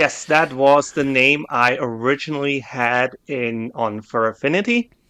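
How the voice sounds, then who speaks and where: Over a quiet background, a man with a German accent talks at a fairly slow pace with hardly any pauses, his medium-pitched voice bright and sharp in tone and his intonation fairly even. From southern Germany, Bavaria. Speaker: artist, podcast guest. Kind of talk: casual chat.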